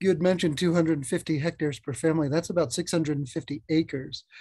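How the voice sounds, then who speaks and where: In an unremarkable speaking voice, a man talks at a fairly slow pace with a fairly high pitch and fairly even intonation against a quiet background. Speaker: audience member asking questions; audience member. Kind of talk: Q&A question. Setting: video call. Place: home room. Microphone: video call.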